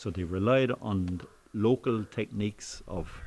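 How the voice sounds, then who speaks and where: Speaking in a Waterford accent, a man uses a fairly low pitch with ordinary pitch variation. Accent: Irish, Waterford. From Ireland, Waterford City. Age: 60s. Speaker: thatcher. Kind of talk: interview. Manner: casual, hesitant with fillers.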